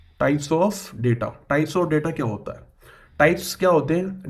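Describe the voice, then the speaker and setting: A man at a fairly high pitch, with ordinary pitch variation. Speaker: computer science tutor. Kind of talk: lecture. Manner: halting, with many fillers.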